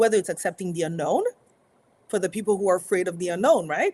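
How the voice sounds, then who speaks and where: Her pitch swings very widely as this woman speaks. The sound is dry and close, with no echo. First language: French. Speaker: motivational speaker. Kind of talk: live stream talk. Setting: live stream.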